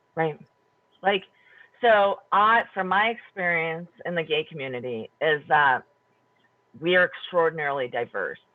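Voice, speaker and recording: Someone with a Wisconsin accent speaks at a fairly slow pace, leaving long, frequent pauses. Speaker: panelist in community round table on homelessness. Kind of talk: round table discussion.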